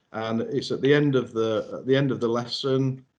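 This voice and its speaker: Speaking in a Yorkshire accent, a man keeps a moderate pace and medium pitch with fairly even intonation. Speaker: software trainer. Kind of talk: webinar presentation. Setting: online webinar. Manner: halting, many fillers.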